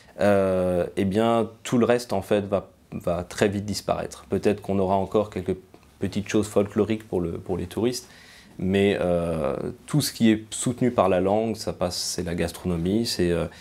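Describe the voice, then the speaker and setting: Fairly even in intonation, a man speaks at a moderate pace in a dark, mellow tone with a fairly low pitch. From France, Alsace (Strasbourg area). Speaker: museum cultural mediator and translator. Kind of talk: interview testimony. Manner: hesitant, many fillers.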